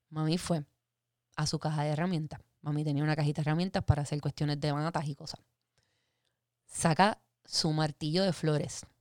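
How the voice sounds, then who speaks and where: A woman's very deep, low voice with an animated tone, a fairly quick pace and long, frequent pauses, on a very clean recording with a silent background and a dry, close sound with no echo. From Puerto Rico (Guaynabo and Fajardo). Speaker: podcast host. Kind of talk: casual chat.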